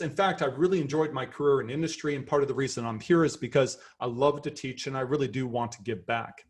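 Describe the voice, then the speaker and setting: In a Canadian accent, a man speaks fairly quickly with a fairly high, somewhat breathy voice and lively intonation. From Canada. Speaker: professor. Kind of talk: lecture. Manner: animated.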